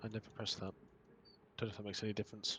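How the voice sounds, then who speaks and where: A man talks very fast in a somewhat breathy, fairly low-pitched voice. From northern England, Northumberland. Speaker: video game streamer. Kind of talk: casual chat. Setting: live stream with headset. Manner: mumbling.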